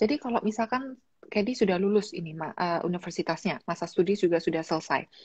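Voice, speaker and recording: Somewhat breathy speech with lively intonation runs at a very fast pace. The background is quiet. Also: woman. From Indonesia, Malang (East Java); East Java, Indonesia. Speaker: YouTuber and livestream host; YouTuber, livestream host. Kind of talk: livestream interview. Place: home room. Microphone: video call.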